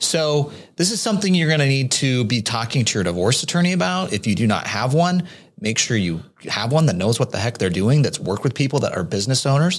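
A man with a somewhat breathy, medium-pitched voice talks at a very fast pace, his pitch swinging very widely while his loudness stays very even. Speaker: podcast co-host, tax adviser. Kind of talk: casual Q&A podcast.

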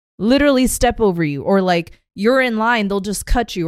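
An unremarkable speaking voice at a fairly quick pace, with lively intonation, on a very clean recording with a silent background. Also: woman. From Korean American family, US. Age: 30s. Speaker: podcast host. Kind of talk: casual interview chat.

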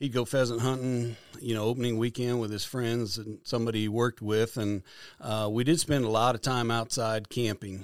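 A man speaks with a Midwestern American accent and fairly even intonation. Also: medium pitch for a man, moderate pace. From Kansas. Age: 50s. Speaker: conservation foundation director. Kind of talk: interview.

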